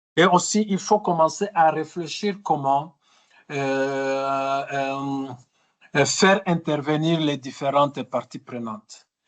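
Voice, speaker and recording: A man with a fairly high pitch and ordinary pitch variation at a very slow pace, against a quiet background. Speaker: trainer. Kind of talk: webinar training session. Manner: halting, many fillers and repetitions.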